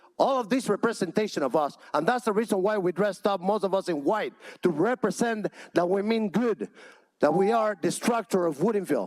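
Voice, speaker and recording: A high-pitched man with a Cuban accent and lively intonation. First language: Spanish. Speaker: public commenter at city council. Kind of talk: public comment. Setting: council chamber, packed room. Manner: impassioned.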